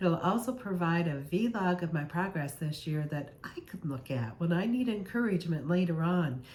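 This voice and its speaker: In a room with audible echo, a woman speaks at a moderate pace with a fairly low pitch. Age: 60s. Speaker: health vlogger. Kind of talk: casual vlog monologue.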